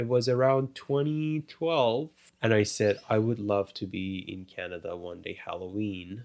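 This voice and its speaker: The voice carries an Iranian accent at a fairly slow pace. Its pitch swings very widely. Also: man. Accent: Iranian (Persian) accent in English. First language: Persian. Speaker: refugee sharing migration story. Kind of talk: interview, personal testimony. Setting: home studio.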